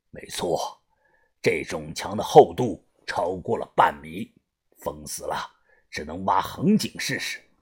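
A man puts on a character voice with a low pitch and a husky, rough edge. His tone is slightly mellow, and his intonation is lively. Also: fairly slow pace.

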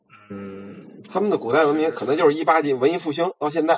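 The speaker is male, with a fairly high pitch. He goes at a very fast pace. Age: 40s. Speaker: podcast guest talking about Tibetan legends. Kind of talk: casual chat.

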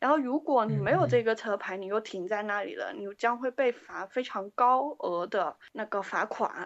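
Lively intonation marks this woman's fairly high voice. She talks at a moderate pace. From Guangzhou, China. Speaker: band member, keyboardist. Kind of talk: interview. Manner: halting.

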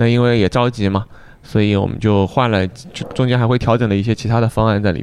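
A man talks at a very fast pace in a medium pitch, his intonation monotone and flat. His loudness stays very even, with noticeable background noise behind him. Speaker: craft brewery owner. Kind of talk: casual chat.

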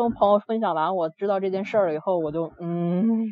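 At a fairly quick pace, a woman speaks in a medium pitch. Her intonation is fairly even. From Beijing. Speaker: listener caller. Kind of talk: storytelling. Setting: live-stream voice call. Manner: halting, many fillers.

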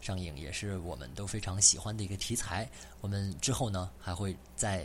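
With audible room echo, a man speaks in a very deep, low pitch with vocal fry, lively intonation and a moderate pace. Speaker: podcast host. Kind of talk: casual chat.

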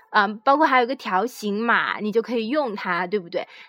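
A woman talks at a fairly quick pace in a high pitch. Her tone is bright and sharp. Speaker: podcast host. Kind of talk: informational monologue. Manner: halting, many fillers.

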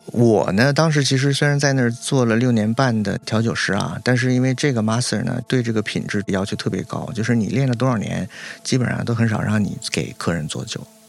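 A man in a normal speaking voice at medium pitch, fairly quick, with hardly any pauses. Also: ordinary pitch variation. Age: 30s. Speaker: importer, former sommelier and vet student. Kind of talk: casual interview chat.

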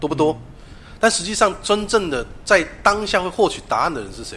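Noticeable background noise sits under a man who talks at a fairly quick pace. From Taiwan, Taichung. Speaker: tarot reader. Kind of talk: interview.

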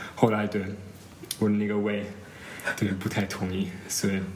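With audible room echo and noticeable background noise, a man speaks in a fairly low voice with a non-native accent. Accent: foreign accent in Chinese. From Germany. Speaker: former exchange student in China. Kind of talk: casual interview chat. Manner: halting, many fillers.

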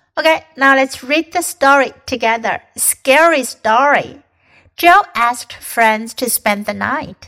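A woman speaks at a very slow pace in a raised, projected voice. Her high pitch carries a bright, sharp tone with ordinary pitch variation. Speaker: English teacher and storyteller. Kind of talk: scripted narration of a children's ghost story, then English-learning lesson. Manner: clear, slow, measured storytelling with mild spooky drama, teacher-like.

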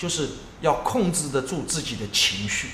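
A man speaks with a fairly high pitch and very wide pitch swings. Audible room echo colors the recording. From Jiangsu, Yancheng. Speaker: entrepreneur, coffee space founder. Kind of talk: casual interview. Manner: repetitive, stammering.

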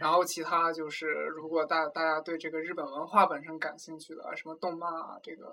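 Talking at a fairly quick pace, a man uses a fairly high voice. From China. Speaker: graduate student. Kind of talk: casual interview chat. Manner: halting with frequent word repetitions.

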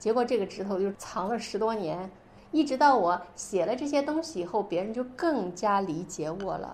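A woman speaks at a medium pitch with lively intonation. Her pace is moderate. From northern Xinjiang, China. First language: Uyghur (speaking Chinese). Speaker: writer. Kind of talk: interview. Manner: hesitant, many fillers.

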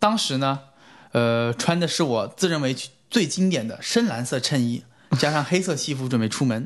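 A man with a plain, everyday voice speaks at a moderate pace and fairly high pitch with lively intonation against a quiet background. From China. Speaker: recent graduate sharing internship advice. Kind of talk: podcast interview.

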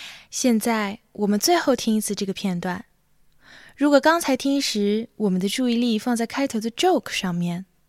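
Very clean recording with a silent background: a woman with a normal speaking voice, fairly high pitch and lively intonation. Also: dry, close sound with no echo. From Xinjiang, China. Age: 20s. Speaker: music student presenter. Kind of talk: scripted narration. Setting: home.

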